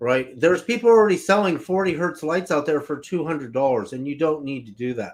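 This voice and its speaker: A man with a plain, everyday voice, fairly high in pitch, with lively intonation, a fairly quick pace and hardly any pauses. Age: 60s. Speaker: frequency healing product seller. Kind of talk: live stream talk. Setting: live video stream.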